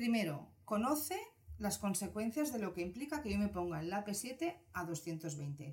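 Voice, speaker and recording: Through noticeable background noise, a woman of medium pitch speaks at a fairly slow pace with very wide pitch swings. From Spain, Barcelona. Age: 40s. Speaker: psychologist. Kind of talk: casual interview.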